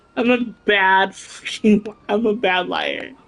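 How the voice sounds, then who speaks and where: A woman speaks over noticeable background noise. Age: 30s. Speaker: video game livestreamer. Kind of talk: casual livestream chat. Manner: animated.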